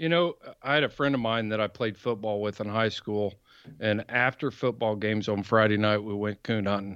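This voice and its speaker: Speaking at a fairly quick pace, a man with an American accent has a normal speaking voice, a fairly low pitch and ordinary pitch variation. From South Central Indiana. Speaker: hound hunter and podcast host. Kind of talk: casual interview.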